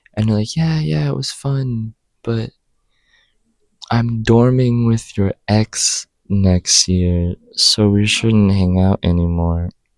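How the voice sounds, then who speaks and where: Soft-spoken and very slow, the voice shows ordinary pitch variation in a dry, close sound with no echo. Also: man, fairly low pitch for a man. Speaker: student vlogger. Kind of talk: casual vlog monologue. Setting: study hall. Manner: casual with many fillers. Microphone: new microphone.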